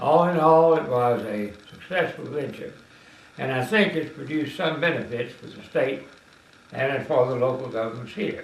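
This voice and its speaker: Big swings in loudness and ordinary pitch variation at a moderate pace, with a Tennessee accent, noticeable background noise and audible room echo. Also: man, fairly high pitch for a man. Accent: Southern US (Tennessee). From US South, west Tennessee. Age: 80s+. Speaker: retired politician. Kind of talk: interview.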